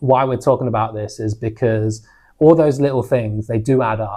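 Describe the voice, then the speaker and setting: On a very clean recording with a silent background, a man in a London accent talks at a moderate pace with a medium pitch and ordinary pitch variation. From London, England. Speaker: podcast co-host. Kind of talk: casual chat.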